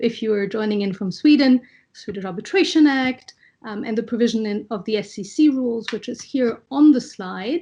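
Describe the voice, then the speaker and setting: Against a quiet background, a woman speaks at a moderate pace in a somewhat breathy, dark and mellow voice of fairly high pitch, with ordinary pitch variation and big swings in loudness. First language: French. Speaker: arbitration law panelist. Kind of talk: online panel presentation. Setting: video call. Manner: measured, with frequent fillers.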